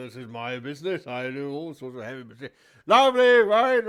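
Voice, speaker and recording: Using a put-on character voice, a man with a fairly high pitch talks very fast, with very wide pitch swings and big swings in loudness. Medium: actual play. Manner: boisterous, jovial.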